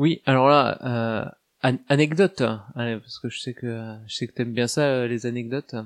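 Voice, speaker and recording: A man with an Alsatian accent speaks with ordinary pitch variation in a dry, close sound with no echo. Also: medium pitch for a man, moderate pace. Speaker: tabletop roleplaying guest. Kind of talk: casual chat.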